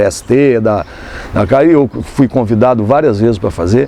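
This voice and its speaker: A man talks with ordinary pitch variation. Noticeable background noise is present. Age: 60s. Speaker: photographer and journalist. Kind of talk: interview. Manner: halting, many fillers.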